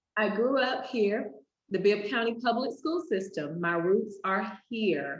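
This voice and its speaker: A woman with an American accent speaks at a fairly slow pace in a fairly high pitch, her intonation lively, with audible room echo. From US South, Macon, Georgia. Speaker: teacher and author. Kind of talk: video interview.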